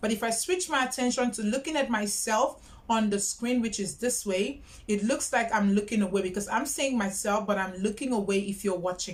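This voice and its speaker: Her pitch sits fairly high as the woman speaks at a fairly quick pace with ordinary pitch variation. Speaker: YouTuber. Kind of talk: tutorial. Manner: loud, projecting.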